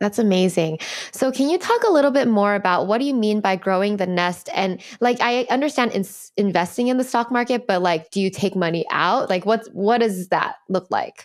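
The tone is warm and enthusiastic, with a moderate pace, very even loudness, and ordinary pitch variation. The background is quiet. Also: woman, fairly high pitch for a woman. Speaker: podcast host. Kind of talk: interview conversation. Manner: warm, enthusiastic. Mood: warm, curious, smiling. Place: home room. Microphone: studio mic.

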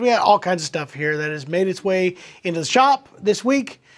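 Against a quiet background, a man is speaking. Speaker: shop host. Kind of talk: casual live stream chat. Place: shop. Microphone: lapel.

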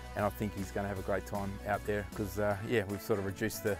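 A fairly low-pitched man's voice at a very fast pace, dry with no echo, over clear music in the background. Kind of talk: tutorial and promotional talk to camera. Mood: friendly, upbeat. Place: street. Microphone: lapel.

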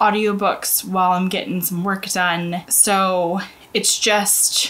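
A woman's very slow, monotone, flat delivery. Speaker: book vlogger. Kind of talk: casual vlog chat. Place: home room.

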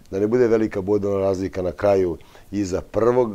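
Fairly low and even in intonation, this man's voice has a dark, mellow tone. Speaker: football club coach. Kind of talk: interview answer. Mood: pleased, reflective. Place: studio. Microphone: lapel.

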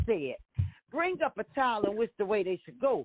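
With a Southern US accent, a woman speaks at a moderate pace, her pitch swinging very widely. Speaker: evangelist. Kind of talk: casual chat.

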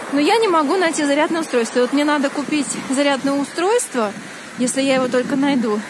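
Noticeable background noise surrounds a woman speaking with a high pitch, in a dry sound with no echo. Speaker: vlogger. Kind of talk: casual vlog chat. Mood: cheerful, chatty. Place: street. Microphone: phone near.

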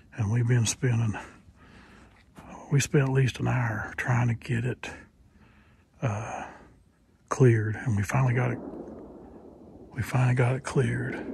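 Pausing long and often at a moderate pace, a man speaks with fairly even intonation in a dry sound with no echo, against noticeable background noise. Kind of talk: casual vlog chat. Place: forest. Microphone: phone near.

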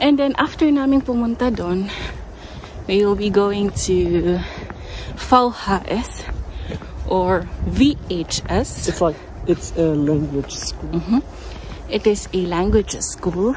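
A woman speaks at a very slow pace with lively intonation and long, frequent pauses. The sound is dry with no echo, and there is light background noise. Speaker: vlogger. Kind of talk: casual vlog chat. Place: street. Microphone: phone near.

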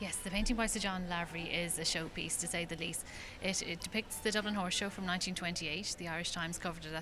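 Clear music sits in the background while a woman speaks at a very fast pace with hardly any pauses. Her pitch is fairly low and her intonation fairly even. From Ireland. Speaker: art auctioneer spokesperson. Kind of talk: interview answer. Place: hall.

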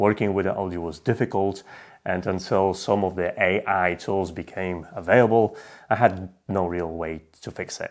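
Against a quiet background, a man speaks with a very deep, low pitch and fairly even intonation. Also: moderate pace. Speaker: tech video creator. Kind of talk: casual vlog chat. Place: home room.

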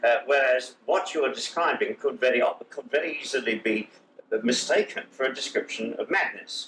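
Here a man talks with an English accent. Noticeable background noise runs underneath. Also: moderate pace. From England. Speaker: television interviewer. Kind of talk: interview. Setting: studio. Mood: friendly, amused. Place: home room. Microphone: old recording.

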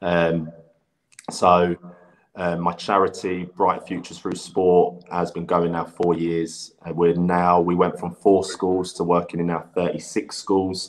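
Over a quiet background, a man in an English accent speaks very slowly in a very deep, low pitch with monotone, flat intonation. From England. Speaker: former footballer and youth coach; youth coach. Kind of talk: casual interview. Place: home room. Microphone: video call.

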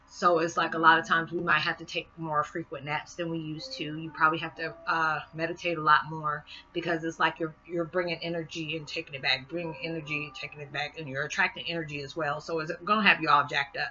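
The speaker goes at a very fast pace with big swings in loudness. Light background noise is present. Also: woman, fairly low pitch for a woman. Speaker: spiritual vlogger. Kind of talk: monologue video blog. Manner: fast talker; warm, animated. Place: home room. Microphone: webcam.

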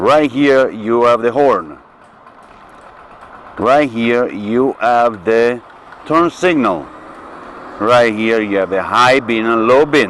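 A man speaks with ordinary pitch variation and long, frequent pauses, in a dry sound with no echo and light background noise. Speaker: vlogger. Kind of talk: tutorial. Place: motorbike. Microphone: camera far.

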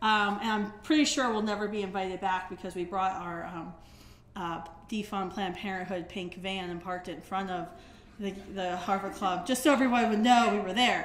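A woman speaking at a fairly quick pace, with audible room echo. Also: ordinary pitch variation. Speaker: speaker. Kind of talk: public talk. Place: hall. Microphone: podium.

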